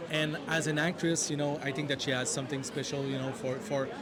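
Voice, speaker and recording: With a French accent and monotone, flat intonation, a man talks amid audible room echo and noticeable background noise. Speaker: film director. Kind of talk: interview. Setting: film festival premiere. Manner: halting.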